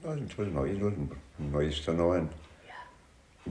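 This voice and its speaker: Somewhat breathy and dark, mellow in tone, a man's very deep, low voice shows ordinary pitch variation. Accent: Cork. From County Cork, Ireland. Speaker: social housing resident. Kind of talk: interview answer.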